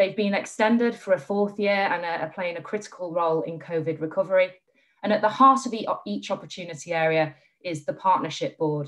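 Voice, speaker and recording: The background is hushed. Over it, a woman talks at a fairly quick pace. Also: ordinary pitch variation. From northern England. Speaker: charity chief executive; speaker. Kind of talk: panel discussion. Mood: warm, enthusiastic. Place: home room. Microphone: video call.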